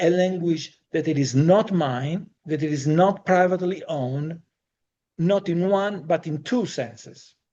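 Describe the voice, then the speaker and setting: Speaking at a fairly slow pace with a non-native accent, a man has a high-pitched voice. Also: ordinary pitch variation. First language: not English. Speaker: Jungian analyst and psychologist. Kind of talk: lecture. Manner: formal.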